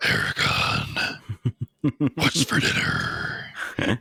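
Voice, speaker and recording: A man puts on a raspy character voice. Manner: dragon voice.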